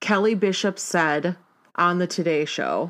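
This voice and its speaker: On a very clean recording with a silent background, a woman speaks at a moderate pace and a fairly low pitch in a plain, everyday voice. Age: 30s. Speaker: podcast co-host. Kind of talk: casual chat.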